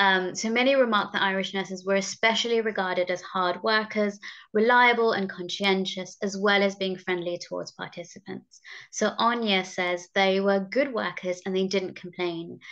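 A woman's medium-pitched voice at a moderate pace, fairly even in intonation, over a quiet background. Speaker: research assistant. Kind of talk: research presentation. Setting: video call. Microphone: video call.

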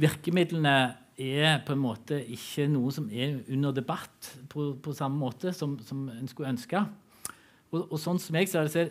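A man speaks in an unremarkable speaking voice, pitched fairly high. His pitch moves in an ordinary way at a fairly slow pace. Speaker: political science professor. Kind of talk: panel discussion. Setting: stage with audience. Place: stage. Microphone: headset.

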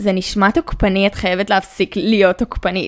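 A woman's fairly even intonation in a very clean recording with a silent background. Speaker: YouTuber and podcaster. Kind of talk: casual monologue.

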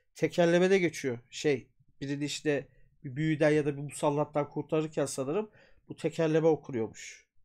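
This man has a fairly high pitch and an animated tone at a moderate pace. The background is quiet. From Turkey. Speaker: YouTube storyteller and folklore streamer; YouTube storyteller, folklore streamer. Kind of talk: casual live stream chat with reading aloud; casual livestream talk about a book. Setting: live stream from home. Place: home room. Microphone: earbuds.

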